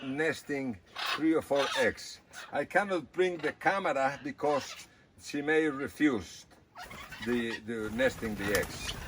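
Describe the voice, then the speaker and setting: A man with a fairly high pitch, very wide pitch swings and a very slow pace, over noticeable background noise. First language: Spanish. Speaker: animal rescue worker. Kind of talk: casual video tour. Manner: halting.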